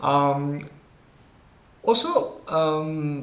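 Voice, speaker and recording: A man talks with ordinary pitch variation, his voice picking up audible room echo amid noticeable background noise. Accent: Italian. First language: Italian. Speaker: board game content creator. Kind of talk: game commentary. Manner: hesitant, many fillers.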